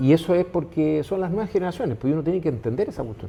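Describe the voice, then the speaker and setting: This man talks at a fairly quick pace with a fairly high pitch. His pitch swings very widely. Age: 60s. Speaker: business owner. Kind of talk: interview conversation. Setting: restaurant. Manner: halting, many fillers.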